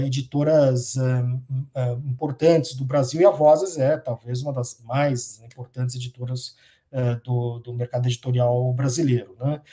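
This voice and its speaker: Over a quiet background, a man speaks at a fairly slow pace in a dark, mellow, somewhat breathy tone. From Brazil. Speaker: professor of international relations. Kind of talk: interview. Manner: hesitant, many fillers. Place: home room.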